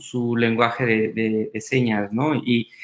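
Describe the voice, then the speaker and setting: This very clean recording has a silent background. On it, a man talks in a medium pitch. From Mexico, Puebla. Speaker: vascular surgeon. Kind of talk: panel discussion.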